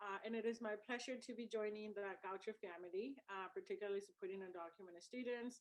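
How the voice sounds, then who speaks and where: A woman speaks at a fairly quick pace and a medium pitch, with a Spanish accent. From El Salvador. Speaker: university student services director. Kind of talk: introduction speech on a video event.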